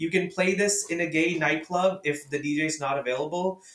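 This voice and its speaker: The speaker is a man at a moderate pace. His pitch varies in an ordinary way. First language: Urdu or Hindi. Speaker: podcast guest, music fan. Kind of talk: casual chat. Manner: animated, laughing often.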